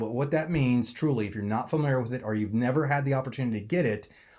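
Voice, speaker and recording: Against a quiet background, a man speaks at a medium pitch and a very fast pace. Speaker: network marketing presenter. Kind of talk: sales pitch. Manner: casual.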